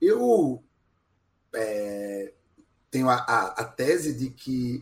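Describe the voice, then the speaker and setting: In a somewhat breathy voice, a man swings very widely in pitch. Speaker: podcast guest, music commentator. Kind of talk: casual chat.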